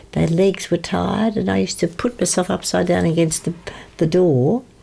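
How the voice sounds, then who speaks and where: A woman talks at a moderate pace with a very deep, low pitch and very wide swings in pitch. Noticeable background noise runs behind her. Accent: Australian. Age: 80s+. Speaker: yoga instructor. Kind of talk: interview answer. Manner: gentle, pleasant.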